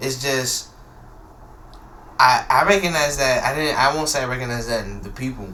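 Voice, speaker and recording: Over audible room echo, a man of medium pitch talks in an animated tone at a moderate pace, with ordinary pitch variation and long, frequent pauses. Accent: American. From US, Ghanaian family. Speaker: podcast guest. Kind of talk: casual chat. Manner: animated, halting.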